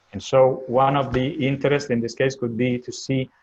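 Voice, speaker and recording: A man talks at a moderate pace. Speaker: optimization researcher. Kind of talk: research presentation. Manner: halting, many fillers.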